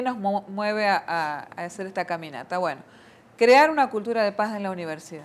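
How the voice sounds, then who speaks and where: With an Argentine accent, a woman speaks at a medium pitch and a fairly quick pace, her intonation lively. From Argentina. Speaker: missionary nun. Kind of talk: interview.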